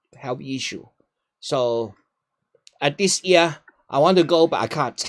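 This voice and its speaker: A man with a Hong Kong accent speaks with ordinary pitch variation. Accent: Hong Kong Cantonese-accented English. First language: Cantonese. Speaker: retiree giving talks on China. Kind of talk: casual Q&A conversation. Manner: halting, with repetitions.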